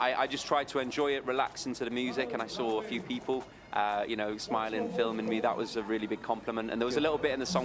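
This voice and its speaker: A man with a Yorkshire accent talks at a very fast pace with hardly any pauses. Noticeable background noise runs underneath. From northern England, Doncaster. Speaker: singer. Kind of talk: interview. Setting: studio.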